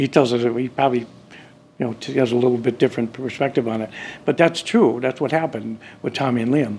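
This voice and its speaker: A man with an Upper Midwest accent speaks at a very fast pace. His intonation is fairly even. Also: medium pitch for a man. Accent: Upper Midwest American. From US Midwest, Chicago area then Wisconsin. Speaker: festival founder. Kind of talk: interview. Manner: halting, many fillers.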